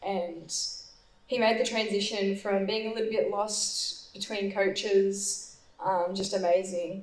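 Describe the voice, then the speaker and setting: Over noticeable background noise, a woman speaks at a medium pitch and a fairly slow pace with monotone, flat intonation. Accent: Australian. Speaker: distance runner. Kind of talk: panel Q&A. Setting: stage with audience.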